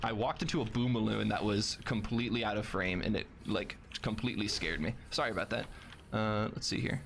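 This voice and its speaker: Fairly low male voice with vocal fry, very even loudness, ordinary pitch variation and a fairly quick pace. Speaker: video game speedrunner. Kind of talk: gameplay commentary. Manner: casual, chatty.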